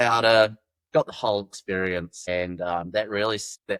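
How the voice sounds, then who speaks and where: With a New Zealand accent, the voice comes through a dry, close sound that has no echo. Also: man. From New Zealand, Wellington. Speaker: backcountry guide. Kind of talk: podcast interview, casual chat. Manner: casual, halting with fillers.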